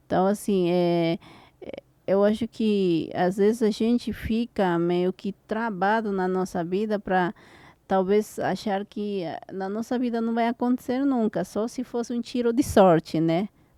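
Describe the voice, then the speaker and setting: With a Spanish accent, a woman speaks at a fairly slow pace in a dark, mellow tone of medium pitch with ordinary variation, the sound dry and close with no echo in a very clean recording against a silent background. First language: Spanish (speaking Portuguese). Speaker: podcast host and e-commerce mentor. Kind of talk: interview conversation.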